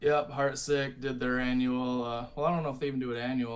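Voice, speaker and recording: A man's medium-pitched voice in an American accent with monotone, flat intonation. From Michigan. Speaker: metal musician; guest. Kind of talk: casual interview. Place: home room. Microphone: video call.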